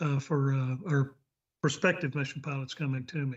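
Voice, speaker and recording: A man talks with a Texas accent at a fairly slow pace. His intonation is monotone and flat. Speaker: flight instructor, check pilot. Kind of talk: club meeting remarks.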